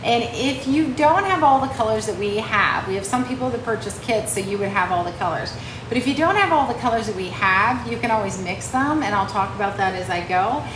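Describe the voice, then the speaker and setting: A woman with a fairly high pitch and lively intonation, fairly quick with hardly any pauses, over noticeable background noise and audible room echo. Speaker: painting teacher. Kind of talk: live painting tutorial. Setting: livestream. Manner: fast.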